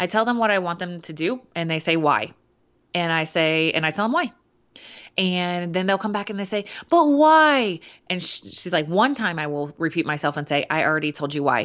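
A woman speaks in a normal speaking voice at a fairly low pitch. Her pace is moderate, and the background is quiet. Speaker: podcast co-host, fitness and nutrition coach. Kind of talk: casual chat.

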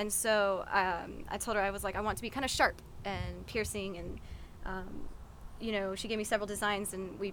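With vocal fry, a woman speaks in an American accent. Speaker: musician. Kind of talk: casual interview. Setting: live in gazebo.

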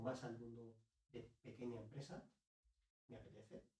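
A man with a dark, mellow tone and a somewhat breathy voice speaks at a moderate pace, with audible room echo. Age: 40s. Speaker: author and business consultant. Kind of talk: interview conversation. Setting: host's home.

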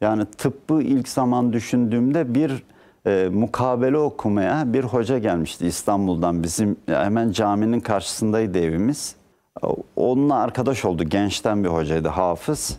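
The voice has a dark, mellow tone and lively intonation, at a fairly slow pace. Loudness stays very even against a quiet background. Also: man, medium pitch for a man. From Turkey, Balıkesir (Aegean). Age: 60s. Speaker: economics professor. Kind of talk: TV interview.

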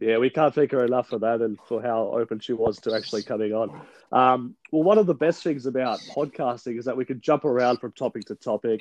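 With an Australian accent, a man talks at a fairly quick pace and medium pitch, using ordinary pitch variation. The sound is dry and close, with no echo. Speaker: podcast host. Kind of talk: casual interview chat. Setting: remote recording.

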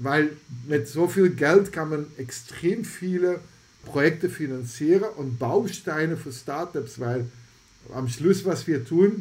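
This voice is somewhat breathy and moves at a fairly slow pace. Its pitch varies in an ordinary way. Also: man. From Belgium (Antwerp, Flemish). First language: Dutch (Flemish) (speaking German). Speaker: health AI foundation founder. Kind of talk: podcast interview.

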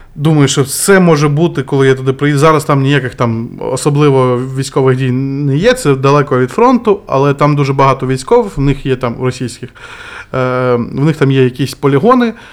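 Noticeable background noise sits behind a man at a moderate pace. His fairly high pitch carries fairly even intonation. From Kherson, southern Ukraine. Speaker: volunteer and former guesthouse owner. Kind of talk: podcast interview.

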